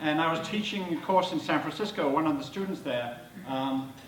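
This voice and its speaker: Speaking fairly quickly with lively intonation, a man with an English accent has a fairly high pitch, heard through audible room echo and noticeable background noise. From southern England, Hampshire. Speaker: supply chain speaker. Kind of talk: presentation to live audience. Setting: stage with audience. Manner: animated, conversational.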